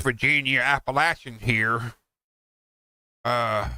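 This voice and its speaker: A man speaks very slowly in a bright, sharp tone with fairly even intonation. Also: very clean recording, silent background. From US South (Tennessee, Kentucky, Carolinas). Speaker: gaming streamer. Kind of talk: casual chat. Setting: live game stream.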